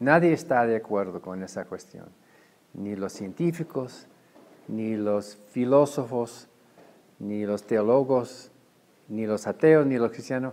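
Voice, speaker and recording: Very slowly and with long, frequent pauses, a man with an English accent speaks at medium pitch with ordinary pitch variation. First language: English (speaking Spanish). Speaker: head of a freethought organization. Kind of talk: interview. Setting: conference. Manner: halting.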